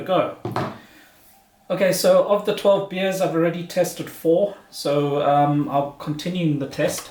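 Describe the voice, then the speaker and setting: Speaking with a non-native accent at a moderate pace, a man is heard over noticeable background noise. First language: not German. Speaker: beer reviewer, video blogger. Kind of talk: casual product review. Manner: halting, many fillers and repeats.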